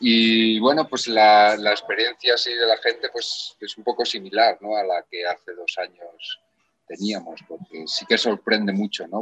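A man with a plain, everyday voice speaks slowly-ish at a fairly low pitch, the sound dry and close with no echo. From Spain. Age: 40s. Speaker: actor. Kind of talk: casual chat.

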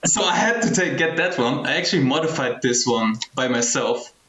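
A man's medium-pitched voice at a moderate pace with lively intonation, amid noticeable background noise. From Germany. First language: Arabic. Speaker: film photography community curator. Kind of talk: casual chat.

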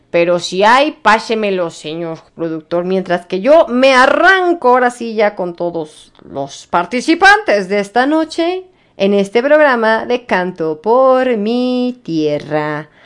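With very wide pitch swings and hardly any pauses, a woman speaks at a very slow pace in a fairly high pitch. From Mexico City. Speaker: radio show host. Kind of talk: casual radio chat. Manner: animated.

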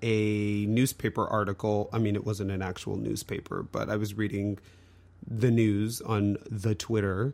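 A man talks in an ordinary speaking voice, at medium pitch and moderate pace. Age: middle-aged. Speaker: podcast co-host. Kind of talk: casual chat.

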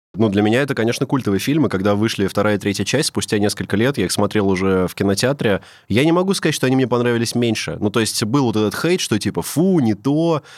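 A man's medium-pitched voice at a very fast pace, with lively intonation and very even loudness. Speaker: podcast host. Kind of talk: casual banter.

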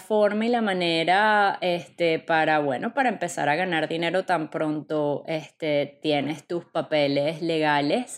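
A woman talks at a fairly slow pace in a Venezuelan accent. Her pitch varies in an ordinary way. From Venezuela, Caracas. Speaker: podcast host. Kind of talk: casual monologue. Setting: home apartment. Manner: animated.

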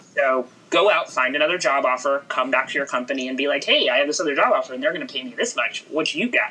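Talking at a very fast pace with hardly any pauses, a woman with an American accent comes through over noticeable background noise. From Houston, Texas. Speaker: news executive. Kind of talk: casual interview.

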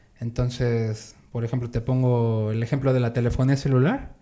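A man's dark, mellow voice at a medium pitch, moderate in pace, with monotone, flat intonation. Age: 30s. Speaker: salesman. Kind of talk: casual interview.

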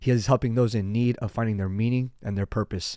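Dark, mellow tone from a man at medium pitch, intonation fairly even. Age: 20s. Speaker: podcast host. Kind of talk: show introduction; casual chat.

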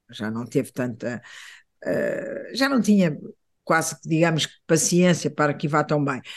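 Fairly slow speech from a man, the background quiet. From Portugal. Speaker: visual artist. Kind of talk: interview conversation. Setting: radio studio. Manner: halting, many repetitions.

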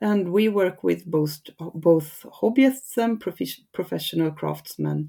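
A woman with a Swedish accent, a fairly low pitch and a dark, mellow tone, at a fairly slow pace. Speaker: regional textile crafts advisor. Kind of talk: interview. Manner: halting.

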